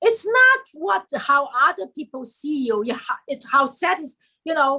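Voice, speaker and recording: A woman with a Chinese accent projects a raised, high-pitched voice. Her tone is bright and sharp, and her pitch swings very widely. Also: fairly slow pace. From China. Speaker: historian and writer. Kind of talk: interview.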